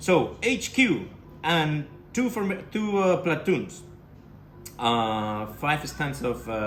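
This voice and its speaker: There is audible room echo as a man speaks with a Spanish accent. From Spain. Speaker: tabletop wargaming youtuber. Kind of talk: battle report commentary. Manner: casual, animated.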